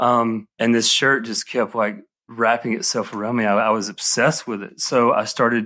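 Speaking at a moderate pace in a Southern US accent, this voice has a bright, sharp tone and monotone, flat intonation. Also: man. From Alabama. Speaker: menswear designer and brand founder. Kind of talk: casual interview chat. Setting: remote call.

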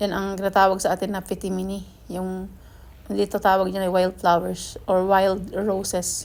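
A woman's medium-pitched voice, monotone and flat, at a fairly slow pace. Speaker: gardening vlogger. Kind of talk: vlog narration. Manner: halting.

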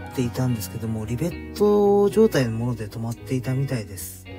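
Over background music, a man at medium pitch talks at a moderate pace with very wide pitch swings. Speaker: trike owner, parent. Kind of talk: DIY repair video narration. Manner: polite.

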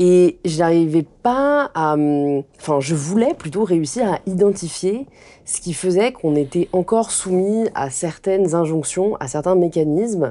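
The speaker is a woman with a fairly low pitch. She talks at a very slow pace. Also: lively intonation. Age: 20s. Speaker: influencer and author; influencer. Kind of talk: interview conversation. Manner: hesitant with fillers. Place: home room.

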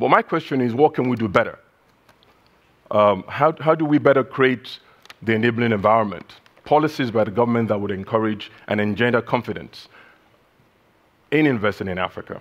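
Moving at a fairly quick pace, the man's voice shows ordinary pitch variation. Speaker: keynote speaker. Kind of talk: keynote speech. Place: hall. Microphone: headset.

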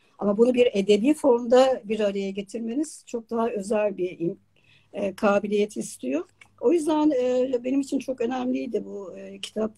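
A woman's fairly high, somewhat breathy voice with a dark, mellow tone, lively intonation and big swings in loudness, at a moderate pace against a quiet background. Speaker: online talk show host. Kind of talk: live interview. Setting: video call. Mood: warm, enthusiastic. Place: home room. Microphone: video call.

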